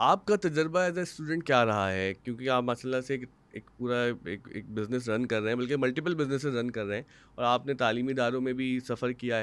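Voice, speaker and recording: Ordinary pitch movement from a man, at a moderate pace. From Pakistan. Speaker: podcast host. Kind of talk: interview. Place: studio. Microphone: studio mic.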